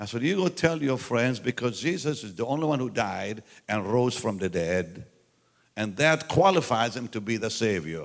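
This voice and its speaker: At a moderate pace, a man of medium pitch talks in an animated tone, his pitch swinging very widely. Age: 70s. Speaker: preacher. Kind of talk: sermon.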